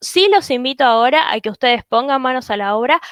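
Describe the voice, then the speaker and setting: Her high-pitched voice moves with lively intonation. The woman's sound is dry and close, with no echo. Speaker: SEO specialist. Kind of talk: webinar presentation. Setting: live webinar. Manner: fast.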